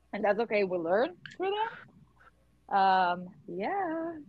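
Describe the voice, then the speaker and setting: A woman with a Portuguese accent speaks at a moderate pace, her pitch making very wide swings. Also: long, frequent pauses. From southern Brazil. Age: 20s. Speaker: volunteer project leader, podcast host. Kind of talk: casual chat.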